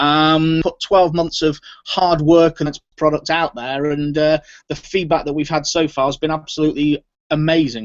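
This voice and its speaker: A man's fairly high voice with a British accent, flat monotone delivery, and a moderate pace. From Britain. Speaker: software entrepreneur. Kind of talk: interview.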